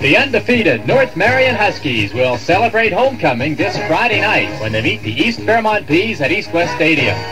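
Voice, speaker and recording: A man talks at a moderate pace with hardly any pauses, his high voice making very wide pitch swings. Clear music plays in the background. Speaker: radio announcer. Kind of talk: radio station promo. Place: studio. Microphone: old recording.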